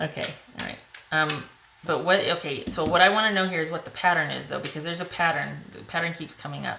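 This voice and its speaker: Amid noticeable background noise and audible room echo, a woman talks fairly quickly at a fairly low pitch. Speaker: tarot reader. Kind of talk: tarot reading to camera. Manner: fast; animated.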